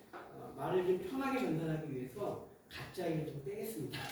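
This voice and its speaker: Speaking at a fairly quick pace, a high-pitched man is heard with audible room echo. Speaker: social cooperative head, presenter. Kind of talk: workshop presentation. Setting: seminar room with audience. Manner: hesitant, many fillers.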